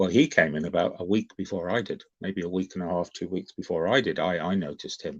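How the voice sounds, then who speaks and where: The speaker has an English accent and a moderate pace. The background is quiet. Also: man. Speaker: YouTube livestream host. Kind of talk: casual livestream chat. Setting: livestream on camera. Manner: animated.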